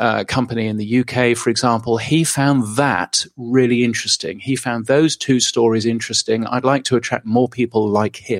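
In a British accent, a man talks at a moderate pace with medium pitch and ordinary pitch variation. The sound is dry and close with no echo, on a very clean recording with a silent background. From England. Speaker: podcast news publisher. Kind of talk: interview.

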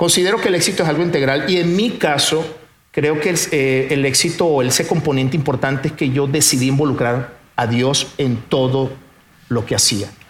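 A man speaks with ordinary pitch variation and very even loudness. Noticeable background noise and audible room echo come through on the recording. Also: fairly high pitch for a man, moderate pace. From Venezuela. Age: 50s. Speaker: businessman. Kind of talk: testimony. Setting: stage with audience.

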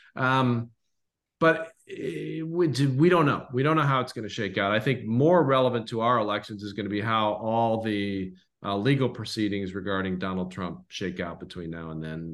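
In an American accent, a man speaks with an unremarkable speaking voice at a fairly low pitch and moderate pace. His intonation is lively, and the background is quiet. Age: 60s. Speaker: history podcast co-host. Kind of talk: casual chat.

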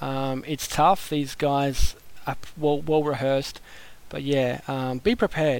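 A man talks at a fairly slow pace with a fairly high pitch. His intonation stays fairly even. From Australia. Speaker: podcast listener. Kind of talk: voicemail message. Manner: casual, hesitant with fillers.

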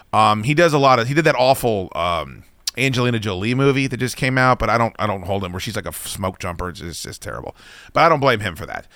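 The man's voice sits at medium pitch, with a bright, sharp tone and vocal fry. He speaks at a very fast pace with lively intonation. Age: 40s. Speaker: radio host. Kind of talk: casual chat. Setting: studio.

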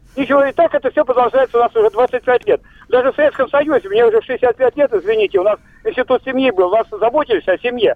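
A man's extremely high voice, very fast, with lively intonation and very even loudness. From Veliky Novgorod, Russia. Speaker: radio caller. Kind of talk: call-in comment. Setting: phone call. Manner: animated.

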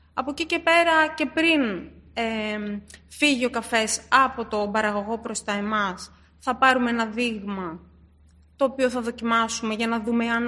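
A bright, sharp woman's voice, fairly high in pitch with ordinary variation, at a moderate pace. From born in Istanbul, raised in Greece from age six. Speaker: coffee sourcing specialist. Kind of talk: interview.

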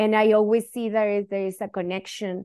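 A woman speaks in a Spanish accent with a dark, mellow tone. The background is quiet. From northern Chile. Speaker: educator and activist. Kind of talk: interview conversation.

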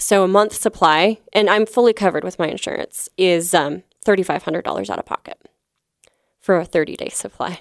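A woman's fairly quick speech with vocal fry, dry and close with no echo. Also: medium pitch for a woman, fairly even intonation. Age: 30s. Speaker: comedian. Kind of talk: casual chat. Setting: studio. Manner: halting.

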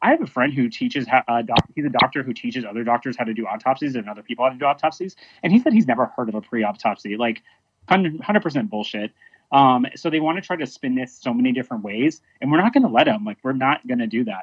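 With an American accent and lively intonation, a man at a medium pitch talks at a very fast pace. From Dallas area, Texas. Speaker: protest participant, activist. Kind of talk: interview. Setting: phone or video call.

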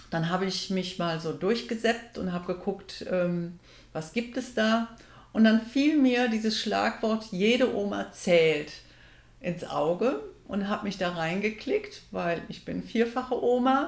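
Very slow speech from a woman with a fairly high pitch and lively intonation. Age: 60s. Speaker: triathlete and office assistant. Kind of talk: casual interview.

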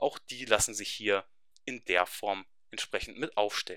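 A man with a fairly low pitch talks at a moderate pace in a normal speaking voice. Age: 20s. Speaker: web developer. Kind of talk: webinar presentation. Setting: webinar.

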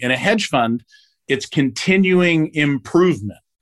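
A man speaks in a plain, everyday voice. His intonation is lively, and his pace is moderate. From US Northeast, South Jersey. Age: 50s. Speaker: tech company CEO. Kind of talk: casual chat.

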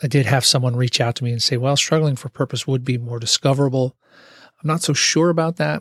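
Somewhat breathy and at a medium pitch, a man talks at a very fast pace with fairly even intonation. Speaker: podcast host and IT worker. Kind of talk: solo casual monologue. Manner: halting, stumbling over words.

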